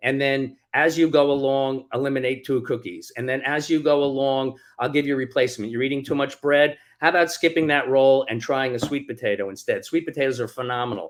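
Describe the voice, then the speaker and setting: In a plain, everyday voice, a man talks at a fairly high pitch and a fairly quick pace with fairly even intonation and hardly any pauses, in a very clean recording with a silent background. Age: 60s. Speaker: author. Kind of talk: interview.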